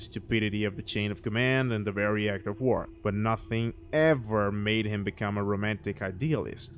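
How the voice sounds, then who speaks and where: A man with a non-native accent speaks at a moderate pace in a fairly low voice, his intonation fairly even. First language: not English. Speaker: video critic. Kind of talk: video review monologue.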